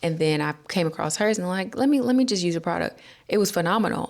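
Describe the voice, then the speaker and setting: The speech comes with a Southern US accent. The recording is very clean, with a silent background. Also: woman. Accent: Southern American English. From North Carolina, USA. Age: 20s. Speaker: hair care vlogger. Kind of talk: casual talk to camera. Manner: upbeat, chatty.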